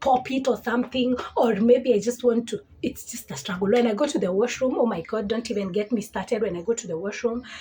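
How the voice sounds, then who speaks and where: Amid noticeable background noise, a woman talks at a fairly quick pace in a fairly high pitch. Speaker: lifestyle vlogger. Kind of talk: casual chat. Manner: halting.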